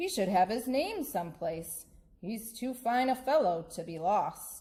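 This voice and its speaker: Speaking slowly at a fairly high pitch, a woman uses a put-on character voice. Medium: read story. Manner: warm, enthusiastic.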